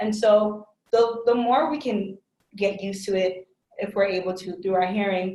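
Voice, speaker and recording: A woman speaks at a moderate pace in a medium-pitched voice with fairly even intonation. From immigrant family in the US. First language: another language besides English. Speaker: workplace inclusion trainer. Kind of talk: webinar Q&A discussion. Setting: online webinar. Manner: casual, filler-heavy.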